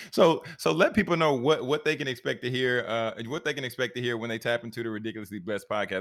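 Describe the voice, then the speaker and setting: A man talks at a very fast pace with hardly any pauses, his medium-pitched voice full of lively intonation. The recording is very clean, with a silent background. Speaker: podcast host and coach. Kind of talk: interview conversation. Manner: frequent stammering repeats; energetic, enthusiastic.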